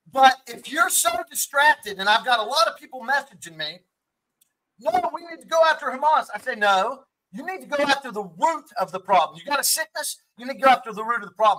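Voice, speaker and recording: With an extremely high pitch, a man speaks at a fairly quick pace in a raised, projected voice, bright and sharp in tone, animated, and with lively intonation. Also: big swings in loudness. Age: 50s. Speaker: political commentator. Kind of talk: heated debate.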